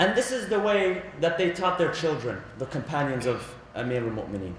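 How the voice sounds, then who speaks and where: A man with an Arabic accent speaks at a moderate pace and a fairly high pitch. Room echo is audible, and background noise is noticeable. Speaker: religious lecturer. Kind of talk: religious lecture. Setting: Islamic center.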